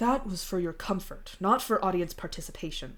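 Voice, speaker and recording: A woman uses a put-on character voice with a rumbling sound and a medium pitch. Her intonation is lively, and her pace is fairly quick. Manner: grumbling.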